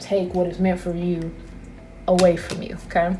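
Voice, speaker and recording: A woman at a medium pitch and fairly quick pace, with noticeable background noise and audible room echo. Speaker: tarot reader. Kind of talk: intuitive tarot reading. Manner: loud; animated.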